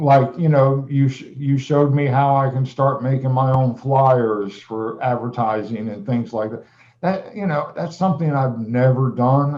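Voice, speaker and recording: Moderate pace, a somewhat breathy quality, and ordinary pitch variation. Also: man. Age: 60s. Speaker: music teacher and producer. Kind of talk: casual interview chat. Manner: halting.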